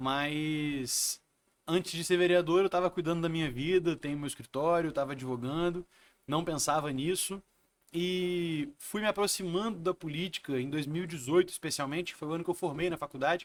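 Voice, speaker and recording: A high-pitched man at a moderate pace with ordinary pitch variation, in a very clean recording with a silent background. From Brazil, Espírito Santo (Vitória). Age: 30s. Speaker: city councillor and lawyer. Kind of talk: interview.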